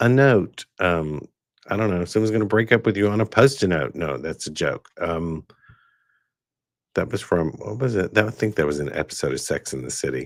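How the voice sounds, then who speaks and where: Lively intonation marks a man's moderate-paced speech in a very clean recording with a silent background. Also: dry, close sound with no echo. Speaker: tarot reader and shop owner. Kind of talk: live stream chat with viewer comments and tarot readings. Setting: live stream. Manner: enunciated, calm. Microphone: new high-end studio microphone.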